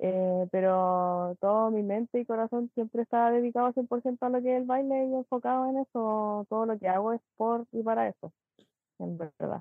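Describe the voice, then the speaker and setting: In a Chilean accent, the speaker keeps a moderate pace with ordinary pitch variation. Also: woman, fairly high pitch for a woman. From Chile, Pichilemo. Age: 20s. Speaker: dancer. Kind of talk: interview.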